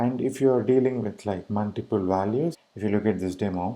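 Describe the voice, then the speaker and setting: A man speaks with an Indian accent at a moderate pace, his tone dark and mellow. The fairly low voice has ordinary pitch variation in a very clean recording with a silent background. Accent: Indian English (Tamil). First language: Tamil. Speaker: web developer tutorial maker. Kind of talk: screencast coding tutorial. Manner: casual, hesitant with fillers.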